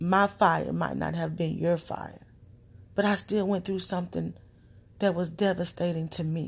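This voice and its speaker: At a moderate pace, a woman with a fairly low pitch speaks with fairly even intonation and vocal fry. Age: 30s. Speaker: solo podcaster sharing personal thoughts. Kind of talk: late-night personal monologue.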